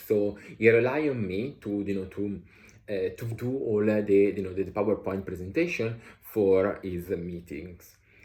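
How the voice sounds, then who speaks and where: A man's fairly low voice has a dark, mellow tone, sounds somewhat breathy and shows ordinary pitch variation. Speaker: author and vlogger. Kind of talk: casual vlog monologue. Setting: traveling, changing locations. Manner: halting, many fillers.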